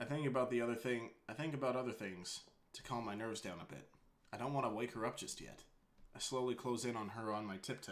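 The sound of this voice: The speaker uses an unforced reading voice. That is all there is to it.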